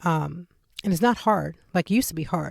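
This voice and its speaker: Animated in tone, a woman talks at a fairly low pitch. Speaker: podcast host. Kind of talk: casual monologue. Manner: fast talker.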